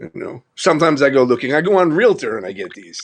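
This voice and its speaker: A man with a New York accent and vocal fry, at a fairly quick pace with very wide pitch swings, over a quiet background. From Long Island, New York. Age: 50s. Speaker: live streamer. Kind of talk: casual chat.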